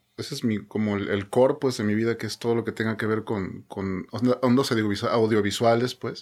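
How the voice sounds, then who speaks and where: A man's plain, everyday voice at medium pitch, with fairly even intonation, a moderate pace, and hardly any pauses. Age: 40s. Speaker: podcast guest. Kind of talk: casual chat.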